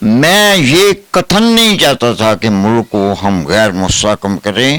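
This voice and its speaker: His pitch swings very widely as the man speaks. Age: 80s+. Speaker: pensioner activist. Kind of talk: interview.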